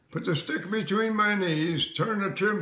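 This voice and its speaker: A man talks while noticeable background noise is heard. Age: 80s+. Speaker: former aerial wolf hunter and pilot. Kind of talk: interview answer.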